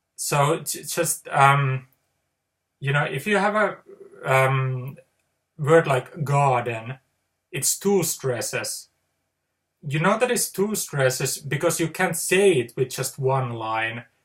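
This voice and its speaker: A man with a Finnish accent speaks very slowly, leaving long, frequent pauses. His pitch is fairly high. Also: lively intonation. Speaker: poet. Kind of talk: casual monologue. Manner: halting; unscripted.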